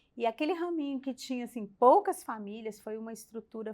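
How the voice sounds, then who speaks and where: A woman with a normal speaking voice talks at a moderate pace. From Brazil, Belo Horizonte. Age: 60s. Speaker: church member, former mission leader. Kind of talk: casual chat.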